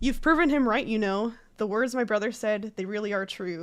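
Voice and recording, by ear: Someone is reading aloud in a natural voice. The delivery sounds like ordinary reading.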